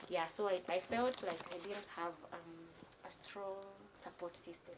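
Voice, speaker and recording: Quiet and fairly slow, a woman speaks at a fairly low pitch with fairly even intonation. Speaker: caregiver. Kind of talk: interview. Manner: halting.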